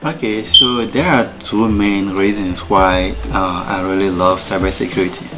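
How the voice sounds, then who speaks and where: With music in the background and audible room echo, a man with a French accent talks in a fairly low voice with hardly any pauses. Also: ordinary pitch variation, fairly slow pace. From Togo. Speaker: student. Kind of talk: personal talk.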